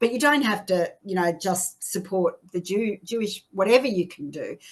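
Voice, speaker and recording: A woman speaks at a moderate pace with a medium pitch and lively intonation. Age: 60s. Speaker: activist. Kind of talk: interview. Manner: halting.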